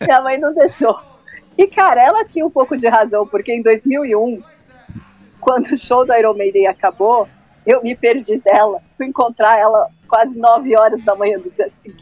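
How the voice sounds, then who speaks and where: A woman's fairly high voice at a moderate pace, with ordinary pitch variation, big swings in loudness and music in the background. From Brazil, São Paulo area. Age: 30s. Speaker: music journalist and radio presenter. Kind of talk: casual chat. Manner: animated.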